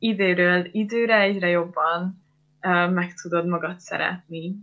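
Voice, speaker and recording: A woman speaks at a very slow pace. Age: 20s. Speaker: psychology student, eating disorder survivor. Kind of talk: interview testimony.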